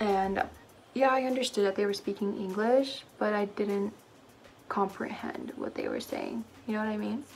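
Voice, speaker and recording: A woman speaks in a medium pitch with an American accent at a moderate pace. Her intonation stays fairly even, with music in the background. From southern Philippines, moved to US at seven. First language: Cebuano. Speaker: beauty vlogger. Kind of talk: casual get-ready-with-me chat. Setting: at home. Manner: chatty, filler-heavy.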